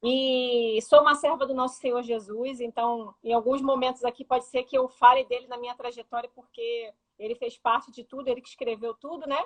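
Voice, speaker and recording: Dry and close with no echo, a woman's high voice holds a monotone, flat intonation at a moderate pace, with hardly any pauses and big swings in loudness. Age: 30s. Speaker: interview guest. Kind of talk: personal testimony. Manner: talkative.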